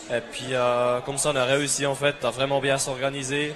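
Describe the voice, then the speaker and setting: A man's fairly high voice, flat and monotone, over noticeable background noise. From Switzerland, Bern. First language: German (speaking French). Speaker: agricultural student, team captain. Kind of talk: interview. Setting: trade fair TV set. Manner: hesitant.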